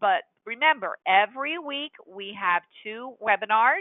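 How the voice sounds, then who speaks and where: A woman with an unremarkable speaking voice, fairly high in pitch, with ordinary pitch variation. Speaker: software trainer. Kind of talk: webinar tutorial. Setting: webinar with screen share.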